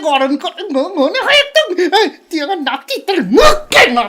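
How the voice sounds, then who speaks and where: A man's put-on character voice at extremely high pitch. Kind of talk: comic ventriloquist banter.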